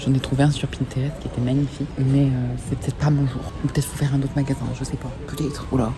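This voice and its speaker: A very fast whisper comes through noticeable background noise. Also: woman. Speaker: vlogger. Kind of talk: casual vlog talk to camera. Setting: outdoors at night, dark alley; in a store. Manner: whispering.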